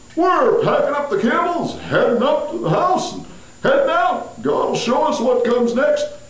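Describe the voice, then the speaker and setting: A high-pitched cartoonish character voice moves at a moderate pace. There is a slight echo. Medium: puppet. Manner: mild, placating.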